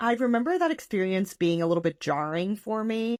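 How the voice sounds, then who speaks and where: This woman's intonation is lively. The sound is dry and close, with no echo. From US, Portuguese immigrant community. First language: Portuguese. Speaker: podcast co-host. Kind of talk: casual chat.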